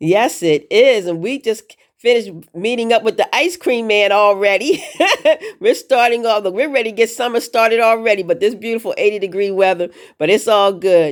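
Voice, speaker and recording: In an ordinary speaking voice, the speaker talks at a fairly quick pace with ordinary pitch variation. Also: woman, fairly high pitch for a woman. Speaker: show host. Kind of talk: casual interview questions.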